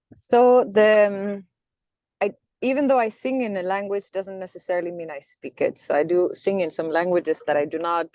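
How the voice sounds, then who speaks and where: A woman's medium-pitched voice with lively intonation, a moderate pace and a Norwegian accent. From Norway. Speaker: singer. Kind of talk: interview. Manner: halting.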